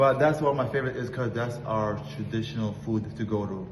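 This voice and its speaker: The voice moves at a moderate pace with ordinary pitch variation, with audible room echo and noticeable background noise. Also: man. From US, moved from Russian-speaking country at six. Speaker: restaurant co-owner. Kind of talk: interview. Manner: halting, repeats words.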